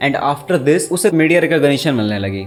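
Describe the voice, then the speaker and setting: An unremarkable speaking voice from a man, at a medium speed with pitch moving in an ordinary way. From Bihar, India. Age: 20s. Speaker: YouTuber, commentator. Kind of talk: casual talk to camera.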